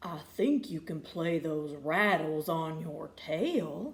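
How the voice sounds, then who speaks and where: Using a put-on character voice, a woman speaks at a very slow pace in a fairly low pitch with ordinary pitch variation. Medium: read story. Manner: jovial, boisterous.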